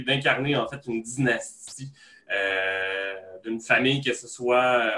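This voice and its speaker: A man at medium pitch speaks with fairly even intonation and a bright, sharp tone. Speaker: podcast host. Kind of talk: casual chat.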